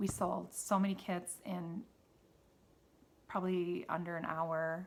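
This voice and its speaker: Here a woman with a Wisconsin accent speaks at a fairly slow pace. Her fairly low voice stays monotone and flat. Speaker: knitting podcaster and yarn seller. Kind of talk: casual solo podcast chat. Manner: halting, many fillers.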